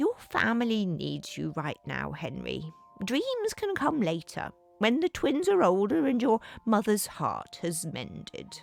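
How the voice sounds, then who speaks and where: At a fairly slow pace, a put-on character voice plays out over faint background music. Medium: read story. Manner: warm, avuncular.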